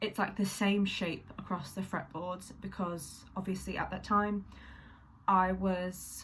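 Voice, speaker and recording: A woman's somewhat breathy, medium-pitched voice, flat and monotone in intonation, at a very slow pace. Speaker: singer-songwriter vlogger. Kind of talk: casual vlog talk. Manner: hesitant, many fillers.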